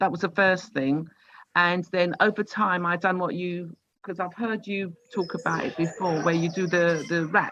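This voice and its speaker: This woman has an ordinary speaking voice, pitched fairly low, with fairly even intonation at a moderate pace. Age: 60s. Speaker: participant sharing health experience. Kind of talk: testimony.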